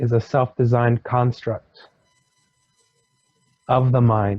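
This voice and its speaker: Very slowly and in a flat monotone, a man of medium pitch speaks in a somewhat breathy voice, the sound dry and close with no echo. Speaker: hypnosis regression client. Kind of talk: hypnosis regression session, channeled spiritual teaching. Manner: slow, measured, pausing, channeling a wise being.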